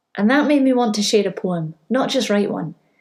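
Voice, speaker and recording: A woman's somewhat breathy, fairly high voice with lively intonation at a moderate pace. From Scotland. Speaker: primary school teacher. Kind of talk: spoken word poetry performance.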